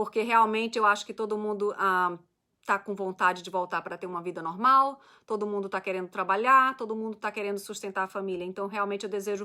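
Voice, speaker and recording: A woman talks at a fairly quick pace in a bright, sharp tone and medium pitch, her intonation fairly even, on a very clean recording with a silent background. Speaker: immigration lawyer. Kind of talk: live stream Q&A. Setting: Facebook live stream. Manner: fast.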